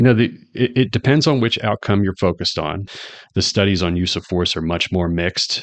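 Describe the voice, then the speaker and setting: A man talks at a fairly quick pace in a normal speaking voice. His pitch is fairly low, with ordinary variation. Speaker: criminology professor. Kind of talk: panel discussion.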